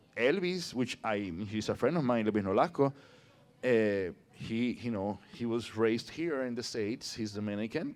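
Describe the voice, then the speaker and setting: With a Puerto Rican accent, a man speaks at a moderate pace in a fairly low voice. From Puerto Rico. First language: Spanish. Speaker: actor. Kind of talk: casual chat. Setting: public conversation in a brewery. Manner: animated.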